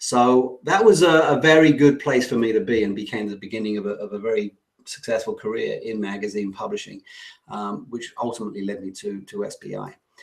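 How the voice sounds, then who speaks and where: Speaking fairly quickly with an English accent, a man of medium pitch shows ordinary pitch variation and big swings in loudness. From England. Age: 50s. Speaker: online business coach. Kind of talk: webinar presentation. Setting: online webinar.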